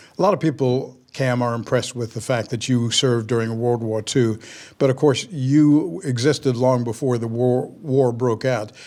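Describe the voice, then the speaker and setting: Over a very clean recording with a silent background, a man with a plain, everyday voice speaks at a moderate pace with ordinary pitch variation. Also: medium pitch for a man. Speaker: pastor. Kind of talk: interview questions.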